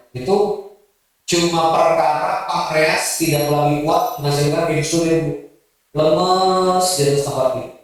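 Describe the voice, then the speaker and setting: Audible room echo surrounds a man speaking at a fairly slow pace with fairly high pitch and fairly even intonation. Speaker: Islamic preacher. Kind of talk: sermon. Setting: mosque with audience.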